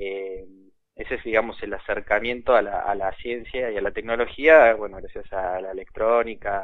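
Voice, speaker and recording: The delivery is at a fairly slow pace. It comes in a normal speaking voice. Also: man. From Argentina. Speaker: inventor of educational electronics kits. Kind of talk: interview. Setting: phone call.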